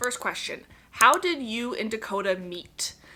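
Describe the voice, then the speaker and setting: Against noticeable background noise, a woman with an American accent speaks at a fairly high pitch, using ordinary pitch variation. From Connecticut, US. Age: 20s. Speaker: parenting vlogger. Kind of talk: casual Q&A chat to camera. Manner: chatty, relaxed.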